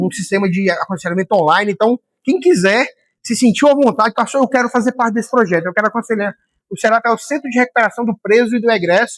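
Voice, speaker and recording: This man talks at a fairly quick clip, with ordinary pitch variation. The sound is dry and close, with no echo. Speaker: pastor and teacher. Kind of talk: lecture. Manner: fast.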